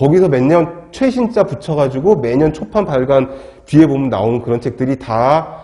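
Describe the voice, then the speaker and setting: Over noticeable background noise, a man speaks at a fairly high pitch. His delivery is fairly quick, with lively intonation. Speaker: lecturer. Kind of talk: lecture. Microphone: wearing a mask, muffled.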